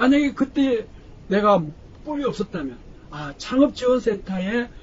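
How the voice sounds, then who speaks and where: The speech moves at a moderate pace, with noticeable background noise beneath it. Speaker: professor. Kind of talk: lecture. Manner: loud. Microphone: no microphone, unamplified voice.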